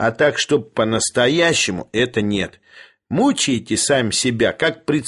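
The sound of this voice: Lively intonation in an unforced reading voice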